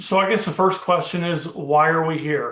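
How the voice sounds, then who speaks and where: An American accent marks this man's high voice. He speaks at a fairly slow pace with fairly even intonation. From Florida (Miami). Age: 60s. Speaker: estate planning advisor. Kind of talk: recorded webinar presentation. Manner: hesitant with fillers.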